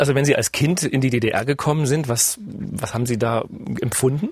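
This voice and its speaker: Music can be heard in the background. A man talks at a medium pitch. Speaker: radio business journalist, podcast host. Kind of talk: podcast interview.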